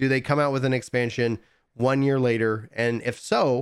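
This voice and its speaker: A man's unremarkable speaking voice at medium pitch, on a very clean recording with a silent background. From East Texas. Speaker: gaming podcast host. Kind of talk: casual chat.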